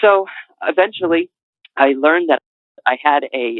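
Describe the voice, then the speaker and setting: A man with a slight New England accent. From New England, Connecticut. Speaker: author. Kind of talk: interview. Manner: halting.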